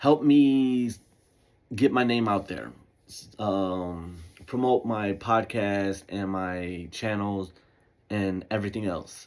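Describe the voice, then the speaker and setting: The speaker goes at a very slow pace with long, frequent pauses, big swings in loudness and ordinary pitch variation, in a very clean recording with a silent background. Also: man. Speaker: podcast host. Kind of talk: casual monologue. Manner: halting, self-correcting; casual, laid-back.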